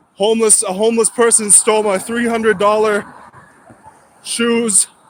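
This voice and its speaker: A man speaks loud and in a monotone, flat way. His pitch is high and his pace moderate. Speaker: livestreamer. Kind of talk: casual livestream chat while walking. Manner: rambling, halting.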